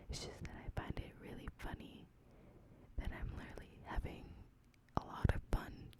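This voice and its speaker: The speaker is whispering at a moderate pace. Long, frequent pauses break up the speech. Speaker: ASMR creator. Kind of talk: ASMR whisper talk to camera. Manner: whispered, soft, close to the microphone.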